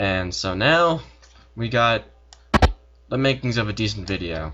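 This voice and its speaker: A man's medium-pitched voice with lively intonation. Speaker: software tutorial maker. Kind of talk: tutorial. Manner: fast; casual with many fillers.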